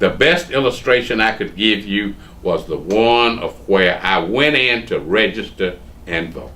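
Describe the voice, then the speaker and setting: Speaking at a fairly slow pace with a Southern US accent, a man uses a bright, sharp tone, medium pitch, and lively intonation. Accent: US South. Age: 70s. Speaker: lawyer. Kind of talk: oral history interview.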